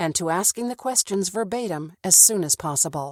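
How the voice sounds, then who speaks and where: With a dry, close sound and no echo, a woman speaks in a normal speaking voice at a medium pitch and moderate pace, her intonation lively. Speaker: voice actor. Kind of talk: e-learning tutorial narration.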